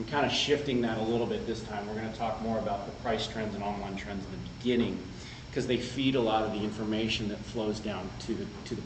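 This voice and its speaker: The voice carries audible room echo along with noticeable background noise. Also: man. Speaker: market research executive presenting data. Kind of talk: conference presentation. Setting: conference room with audience. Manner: casual, conversational.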